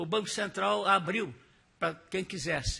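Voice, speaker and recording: A man talks at a high pitch. His tone is bright and sharp. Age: 80s+. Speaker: retired central bank employee. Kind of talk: testimony. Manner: halting.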